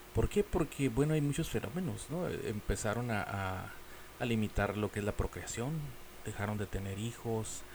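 A man speaks at a medium pitch with lively intonation. His pace is moderate. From Mexico. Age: 40s. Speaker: podcast host. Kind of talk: casual monologue. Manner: halting.

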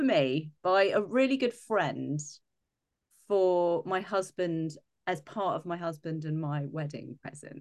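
The woman's voice has a fairly low pitch. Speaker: podcast host. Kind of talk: casual interview chat.

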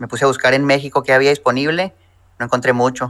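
Very fast and monotone, a man with a medium pitch speaks in a bright, sharp tone with flat intonation. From Mexico, Chihuahua. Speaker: personal finance YouTuber. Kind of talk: interview.

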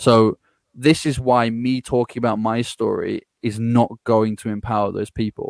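A man with an English accent at medium pitch, monotone and flat in intonation, dry and close with no echo, on a very clean recording with a silent background. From England. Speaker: growth strategist and podcaster. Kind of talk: interview conversation.

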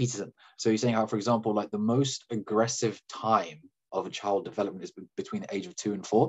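A man speaks with a British accent at a fairly low pitch. His pitch varies in an ordinary way. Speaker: data scientist. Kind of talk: casual chat. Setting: video call. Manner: fast, repetitive fillers.

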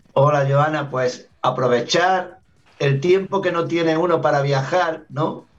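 The speech moves at a very slow pace, with very even loudness and fairly even intonation. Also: man, fairly high pitch for a man. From Andalusia, Granada (southern Spain). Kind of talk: radio interview.

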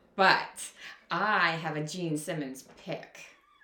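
An animated tone with audible room echo and noticeable background noise. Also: woman. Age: 40s. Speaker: podcast co-host. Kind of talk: casual chat.

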